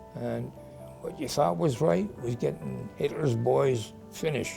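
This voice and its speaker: Music plays in the background as a man speaks. His pitch is fairly low and his pace fairly slow. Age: 80s+. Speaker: war veteran. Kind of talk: interview answer.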